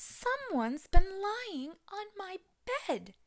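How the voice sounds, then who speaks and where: Put on as a character, this voice bellows, squeaks and growls at an extremely high pitch and a very slow pace. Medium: read story.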